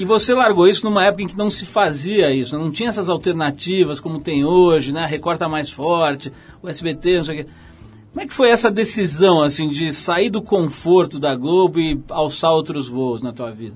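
Delivered at a moderate pace with hardly any pauses, the speech has lively intonation and big swings in loudness. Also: man, high pitch for a man. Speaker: radio host. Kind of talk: interview. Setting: radio studio.

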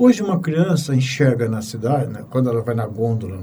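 Audible room echo surrounds a man speaking at a moderate pace and medium pitch with lively intonation. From Brazil, São Paulo. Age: 60s. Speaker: physician, pathologist. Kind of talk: casual interview conversation.

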